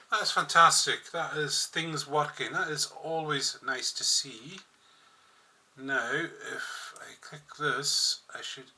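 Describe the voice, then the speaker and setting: Man's voice at a very slow pace with big swings in loudness over noticeable background noise. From Scotland, Outer Hebrides (Isle of Lewis). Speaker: gaming streamer. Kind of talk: casual live-stream chat.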